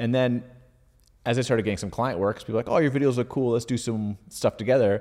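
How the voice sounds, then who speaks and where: On a very clean recording with a silent background, a man with a Canadian accent talks at a very fast pace with fairly even intonation. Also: medium pitch for a man. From Ottawa, Canada. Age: 40s. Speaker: video creator. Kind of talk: casual interview chat. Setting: studio.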